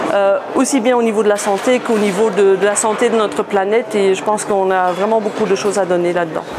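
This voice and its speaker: A woman's medium-pitched voice at a very fast pace with hardly any pauses, very even loudness, and fairly even intonation, plus audible room echo and noticeable background noise. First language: German (speaking French). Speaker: former service club member. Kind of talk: testimony. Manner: halting, many fillers.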